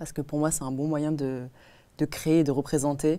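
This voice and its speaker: In a very clean recording with a silent background, a woman with a very deep, low pitch and a dark, mellow tone speaks in a flat monotone at a moderate pace. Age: 20s. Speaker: design student and collage artist. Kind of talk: casual chat. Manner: hesitant, many fillers.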